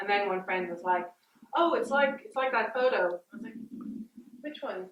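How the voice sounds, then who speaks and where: A woman with an Irish accent speaks at a moderate pace. Her loudness swings widely. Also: fairly high pitch for a woman, lively intonation. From Ireland. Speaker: artist. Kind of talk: public artist talk. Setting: gallery event with audience.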